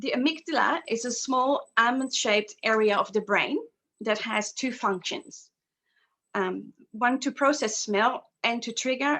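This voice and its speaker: Her tone bright and sharp, a woman with a Dutch accent speaks at a moderate pace with ordinary pitch variation. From Netherlands. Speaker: aromatherapy practitioner. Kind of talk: guided session presentation. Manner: halting, many fillers.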